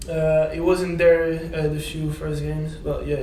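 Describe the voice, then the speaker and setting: There is noticeable background noise and audible room echo as a man speaks with a French accent. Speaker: professional footballer. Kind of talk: press conference interview. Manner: halting.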